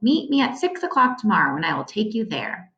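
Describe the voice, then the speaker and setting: A woman puts on a growling character voice with a high pitch. She speaks at a fairly quick pace. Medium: read story.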